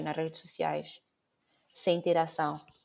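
A woman at a fairly slow pace. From Mozambique, Maputo. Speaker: podcast host. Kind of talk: casual chat. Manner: code-switching Portuguese and English.

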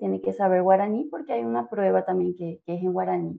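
Lively intonation marks this woman's speech. Her pitch sits in the medium range. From Paraguay, Asunción. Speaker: Spanish teacher. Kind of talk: interview.

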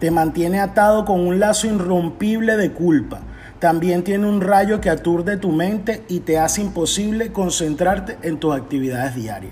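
High pitch from a man at a moderate pace, with ordinary pitch variation and noticeable background noise. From Venezuela. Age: 40s. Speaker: leadership coach and podcaster. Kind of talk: scripted motivational monologue.

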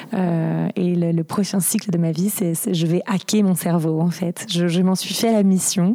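Against noticeable background noise, a woman with a fairly low pitch speaks with very even loudness and fairly even intonation. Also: fairly slow pace. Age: 30s. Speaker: interviewee sharing bipolar experience. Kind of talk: personal testimony. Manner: halting, repeated stutter-like restarts.

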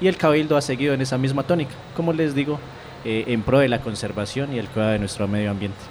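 A man's voice over noticeable background noise. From Colombia, Cauca (Puracé). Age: 20s. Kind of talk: interview.

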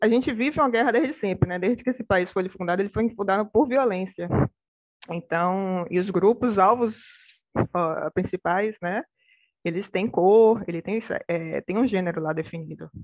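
A woman talks at a moderate pace in a plain, everyday voice, medium in pitch with ordinary pitch variation. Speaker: public policy researcher. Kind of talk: panel discussion.

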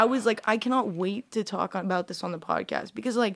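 Here a woman talks in an unremarkable speaking voice at a medium pitch. Her pace is moderate and her pitch variation ordinary. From Russia, raised in US since early childhood. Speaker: social media model and influencer. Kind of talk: casual interview chat.

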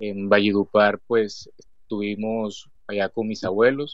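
Speaking very slowly, a man uses a medium-pitched voice. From Colombia, Cesar region. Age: 30s. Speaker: author. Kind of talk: interview.

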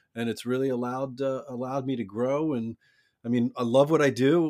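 A man with an American accent has a normal speaking voice at a medium pitch and a fairly quick pace. His intonation is fairly even, and the sound is dry and close with no echo. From US, Baltimore. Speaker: orthopedic surgeon and franchise founder. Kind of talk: casual interview.

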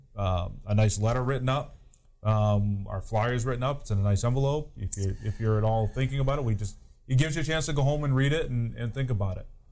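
A man talks in a mid-range pitch, and the room echo is easy to hear. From New Hampshire. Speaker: fire chief. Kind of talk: casual chat.

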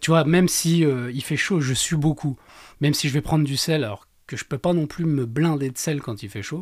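A man with an unremarkable speaking voice talks at a moderate pace with a fairly high pitch and ordinary pitch variation. The recording is very clean, with a silent background. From Lorraine, France. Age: 30s. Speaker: amateur trail runner, estate agent. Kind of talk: casual interview. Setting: studio.

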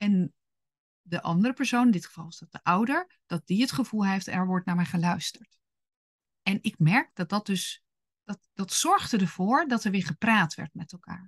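The voice is somewhat breathy, with lively intonation and big swings in loudness. The sound is dry and close, with no echo. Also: woman, medium pitch for a woman. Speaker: parenting podcast host / coach for gifted children. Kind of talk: solo podcast talk with advice. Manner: speaks higher and faster when annoyed.

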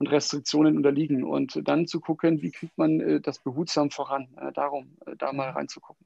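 This man talks at a moderate speed. No echo colors the dry, close sound. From Germany, Wiesbaden (Hesse). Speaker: HR consultant. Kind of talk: interview. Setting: home office, live stream.

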